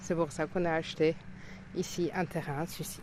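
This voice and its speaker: Fairly slow pace from a woman with a fairly low pitch. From Luxembourg. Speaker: villager interviewed. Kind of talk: interview testimony.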